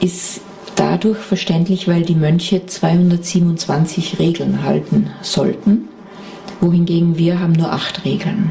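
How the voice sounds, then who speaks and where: A woman at a fairly low pitch, with fairly even intonation, very even loudness and a very slow pace, over noticeable background noise. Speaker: buddhist nun and meditation teacher. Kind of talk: interview.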